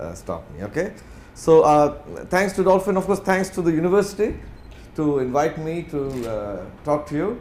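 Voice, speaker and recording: A man speaks with lively intonation in a space with audible room echo. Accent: Indian. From India, Bangalore. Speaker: corporate executive, guest speaker. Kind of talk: lecture. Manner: fast.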